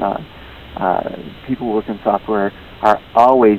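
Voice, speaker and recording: A man talks with an American accent in a fairly low pitch. His intonation is fairly even, and there is noticeable background noise. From Wisconsin, US Midwest. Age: 40s. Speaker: novelist. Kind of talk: interview. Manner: halting, many fillers.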